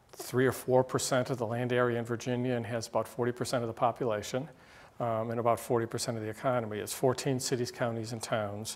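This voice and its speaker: Speaking at a fairly quick pace, a man keeps to a monotone. His intonation is flat throughout. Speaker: guest lecturer. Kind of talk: lecture. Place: classroom. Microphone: podium.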